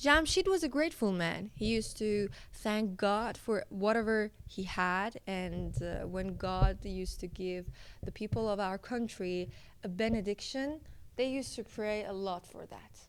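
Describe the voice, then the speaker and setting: A woman speaks at a medium pitch with a Persian accent. Her pace is fairly slow. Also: ordinary pitch variation. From Iran. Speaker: storyteller. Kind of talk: casual storytelling narration. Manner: hesitant, with fillers.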